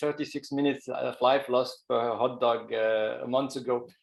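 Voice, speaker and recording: A man with a Swiss accent at a medium pitch. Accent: French-speaking Swiss. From Switzerland, French-speaking. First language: French. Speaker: professor. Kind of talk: webinar presentation.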